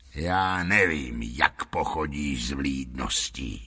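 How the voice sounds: A man puts on a character voice with a very deep, low pitch. It is growling and raspy.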